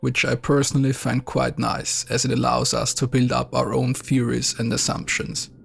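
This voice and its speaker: Someone with a non-native accent talks at a moderate pace over noticeable background noise. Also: man. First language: not English. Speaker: video game reviewer. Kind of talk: scripted narration.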